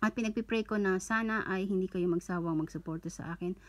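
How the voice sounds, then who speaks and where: Fairly even intonation from a woman speaking. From Philippines. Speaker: online content creator running a giveaway. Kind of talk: casual livestream-style giveaway announcement. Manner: casual, chatty, joking, self-correcting. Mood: cheerful, thankful, festive. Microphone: phone near.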